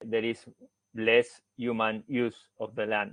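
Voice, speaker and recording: Speaking at a very slow pace, a man with a Spanish accent talks at a medium pitch. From Argentina. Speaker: researcher, forest engineer. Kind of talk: academic seminar presentation. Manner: halting, many fillers.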